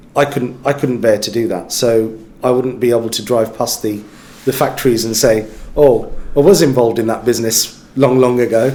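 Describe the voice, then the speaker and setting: Against noticeable background noise, a man with a medium-pitched voice talks at a moderate pace with fairly even intonation. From West Midlands, England. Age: 40s. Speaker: business executive. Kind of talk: interview. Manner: halting, many fillers.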